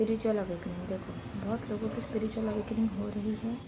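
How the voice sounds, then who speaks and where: The woman's fairly high voice comes through with noticeable background noise behind it. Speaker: spiritual reader, channel host. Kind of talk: tarot-style spiritual reading.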